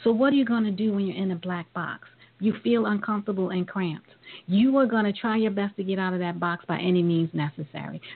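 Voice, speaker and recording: Talking at a very fast pace, a woman uses medium pitch and ordinary pitch variation. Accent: New York. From Brooklyn, New York. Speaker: talk radio host. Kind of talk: radio interview.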